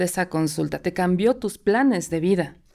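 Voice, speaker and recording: A woman speaks in a normal speaking voice at a medium pitch. Her pace is moderate, with ordinary pitch variation. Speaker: podcast host. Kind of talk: interview.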